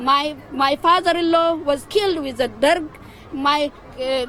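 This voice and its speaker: A woman with an Ethiopian accent speaks at a high pitch and a fairly slow pace, with ordinary pitch variation. Noticeable background noise sits behind her. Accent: Ethiopian Oromo. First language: Oromo. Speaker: protester. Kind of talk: street interview. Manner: halting.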